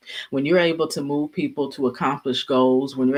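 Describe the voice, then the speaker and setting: Very deep, low pitch from a woman. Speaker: YouTuber and leadership speaker. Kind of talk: casual livestream talk. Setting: at home, livestream. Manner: quiet-spoken, low volume.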